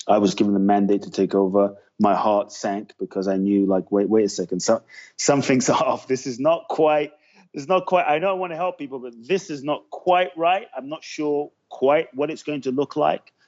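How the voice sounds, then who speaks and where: Moving at a moderate pace, a man speaks at a fairly high pitch with very wide pitch swings. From London, England (Peckham/Brixton). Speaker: motivational speaker. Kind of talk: podcast interview.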